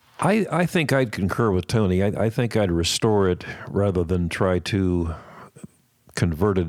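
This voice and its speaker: At a fairly slow pace, a man with an American accent talks in a very deep, low pitch. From Columbus, Ohio. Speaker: guitar collector and museum docent. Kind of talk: casual chat.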